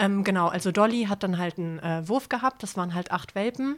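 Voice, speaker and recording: The recording is very clean with a silent background as a woman uses a normal speaking voice at medium pitch and a moderate pace. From Hamburg. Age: 30s. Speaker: former homeless person. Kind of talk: personal testimony in interview.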